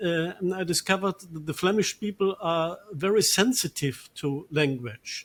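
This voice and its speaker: A man with a German accent, high-pitched, at a fairly slow pace. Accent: German accent in Dutch. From Germany, Ruhr Valley. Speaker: priest. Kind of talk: interview. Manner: halting, many fillers.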